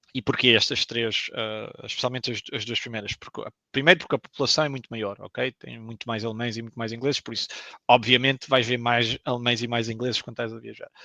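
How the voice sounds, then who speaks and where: A man speaks at a fairly quick pace and a medium pitch, his tone bright and sharp but his intonation flat and monotone. His loudness swings widely, and the sound is dry and close with no echo. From Portugal. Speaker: video game professional. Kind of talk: interview. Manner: hesitant, many fillers.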